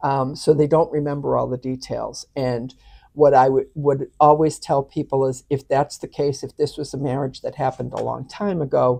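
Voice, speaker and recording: A monotone, flat delivery with vocal fry, in an American accent, at a moderate pace with hardly any pauses. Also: woman, very deep, low pitch for a woman. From Boston, Massachusetts. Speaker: annulment advisor. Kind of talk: interview.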